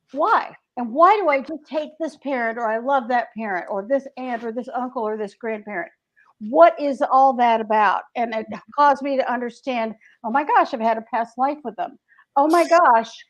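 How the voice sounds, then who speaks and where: Against a quiet background, a woman with a Southern US accent speaks at a high pitch with ordinary pitch variation. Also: moderate pace. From US South, Greensboro, North Carolina. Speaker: author. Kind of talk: casual chat.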